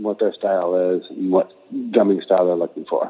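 A man with an American accent at a moderate pace. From Aberdeen, Washington, US Pacific Northwest. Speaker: rock drummer. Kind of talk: casual interview chat. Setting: phone call. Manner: halting, many fillers and repeats.

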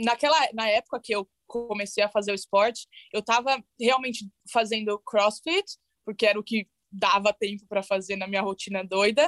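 An unremarkable speaking voice moves at a moderate pace with fairly even intonation, in dry, close sound with no echo. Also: woman, fairly high pitch for a woman. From Brazil, São Paulo ABC region. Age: 20s. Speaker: bobsled athlete. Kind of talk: interview.

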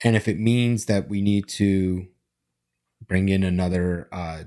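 His voice sits at a very deep, low pitch and shows ordinary pitch variation. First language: not English. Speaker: company CEO and founder. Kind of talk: casual chat.

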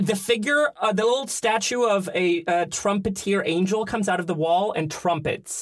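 A man talks in a high voice at very even loudness, with ordinary pitch variation and hardly any pauses. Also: moderate pace. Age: 30s. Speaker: theater performer. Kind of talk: casual chat. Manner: playful, jokey.

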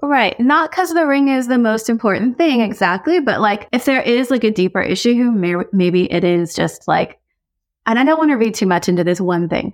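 A woman with an American accent speaks with very wide pitch swings and very even loudness. The recording is very clean, with a silent background. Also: moderate pace. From US, Korean American adoptee. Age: 40s. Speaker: author and advice columnist. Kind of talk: casual advice chat. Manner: casual, many fillers like 'like' and 'um'.

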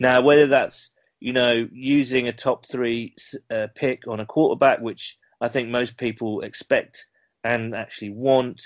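With a British accent, a man speaks at a fairly slow pace in a medium pitch, his intonation monotone and flat, in a very clean recording with a silent background. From UK. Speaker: podcast host guest, football fan. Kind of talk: casual interview chat.

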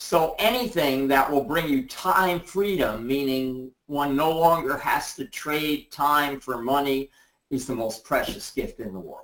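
This man has an unremarkable speaking voice, pitched fairly high, with lively intonation. He talks at a fairly slow pace, and his loudness swings widely. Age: 60s. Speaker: essential oils distributor. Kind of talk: interview on a group call. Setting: conference call.

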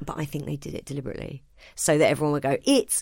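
This woman has an English accent and a very deep, low pitch. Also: very clean recording, silent background. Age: 30s. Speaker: stand-up comedian. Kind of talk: casual chat. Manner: animated.

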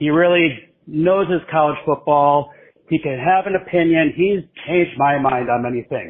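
A man with an American accent, a normal speaking voice, fairly high pitch, ordinary pitch variation, and a moderate pace. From Wisconsin. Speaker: caller. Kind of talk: voicemail rant.

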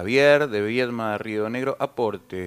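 A man speaks with a Rioplatense accent. His pace is fairly slow. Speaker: radio announcer. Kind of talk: radio announcing, casual banter.

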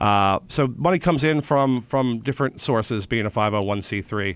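A man with an American accent speaks in an ordinary speaking voice at medium pitch, with lively intonation and a moderate pace. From Philadelphia, Pennsylvania. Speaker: theater artistic director. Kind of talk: radio interview.

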